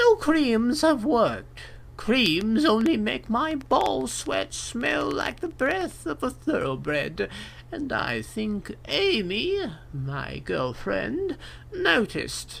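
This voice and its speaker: Over clear background noise, a man uses a put-on character voice, high in pitch and at a very slow pace. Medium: read story. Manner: stern, matter-of-fact.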